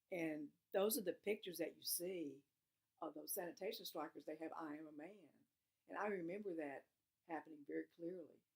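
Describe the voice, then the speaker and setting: A woman with a Southern US accent speaks at a fairly quick pace and a fairly low pitch with ordinary pitch variation. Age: 60s. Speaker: oral history interviewee. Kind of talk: oral history testimony. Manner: halting.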